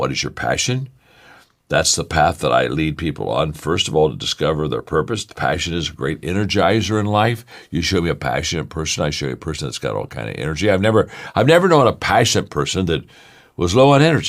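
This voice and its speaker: Talking at a very fast pace, a man with a very deep, low voice shows vocal fry and very wide pitch swings. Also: very clean recording, silent background. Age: 70s. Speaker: motivational speaker. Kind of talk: motivational talk. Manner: repetitive, stammering restarts.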